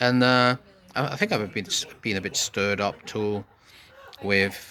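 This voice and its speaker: A man's fairly low voice keeps fairly even intonation as noticeable background noise runs underneath. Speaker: podcaster. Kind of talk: casual monologue. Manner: halting, many fillers.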